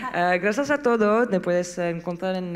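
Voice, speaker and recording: A woman speaks with a French accent and ordinary pitch variation. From France. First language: French (speaking Spanish). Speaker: association representative; panelist. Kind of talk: panel discussion. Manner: halting. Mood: grateful, wrapping up. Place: stage. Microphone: handheld.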